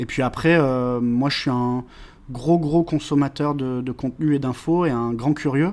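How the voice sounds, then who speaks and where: A man speaks at a fairly slow pace. His pitch is fairly high and his intonation fairly even. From France, Valence (Drôme). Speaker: web marketing consultant. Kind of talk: podcast interview. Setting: meeting room. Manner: hesitant, many filler sounds.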